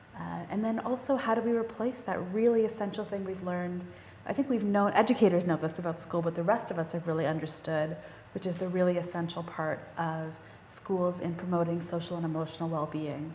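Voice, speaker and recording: At a fairly quick pace, a woman talks with a fairly low pitch and ordinary pitch variation. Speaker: panel moderator. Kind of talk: panel discussion. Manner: fast.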